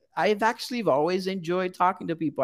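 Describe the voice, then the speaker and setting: With a Portuguese accent, a man speaks on a very clean recording with a silent background. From Brazil. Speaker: graduate counseling student. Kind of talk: interview.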